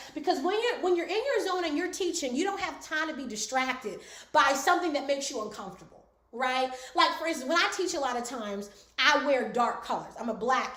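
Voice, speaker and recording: With audible room echo, a woman speaks high and animated at a fairly quick pace, her pitch swinging very widely. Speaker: speaking coach. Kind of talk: online class. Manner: fast.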